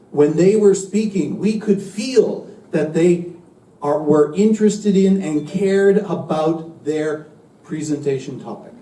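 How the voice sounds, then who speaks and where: A man's high-pitched voice with audible room echo. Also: ordinary pitch variation, fairly slow pace. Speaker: university English teacher. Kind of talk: lecture. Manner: slow and clear.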